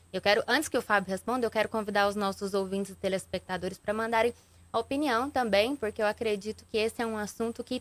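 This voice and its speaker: The voice moves at a fairly quick pace in a dry, close sound with no echo. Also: woman. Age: younger than the host. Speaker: journalist and TV news anchor. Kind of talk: interview questions. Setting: radio and TV studio.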